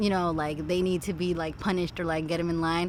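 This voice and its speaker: Speaking at a fairly quick pace, a woman talks with a Californian accent. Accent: Californian American English. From Los Angeles suburbs, California. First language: Spanish. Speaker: behavior therapist. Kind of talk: casual chat. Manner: heavy filler 'like', casual.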